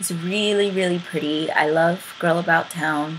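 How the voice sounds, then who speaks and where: Music plays behind a woman who talks fairly slowly, her pitch varying in an ordinary way. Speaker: beauty vlogger. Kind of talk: casual talk to camera.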